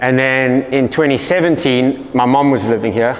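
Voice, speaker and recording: Against noticeable background noise and audible room echo, a man speaks at a medium pitch and a moderate pace. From South Africa. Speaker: gym coach and former engineer. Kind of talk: interview. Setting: gym. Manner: casual, relaxed.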